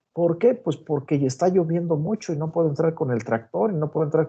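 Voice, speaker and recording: Talking at a very fast pace, a man has a fairly high pitch and a dark, mellow tone that is somewhat breathy. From Mexico, Guanajuato. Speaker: agronomy professor. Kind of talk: online lecture.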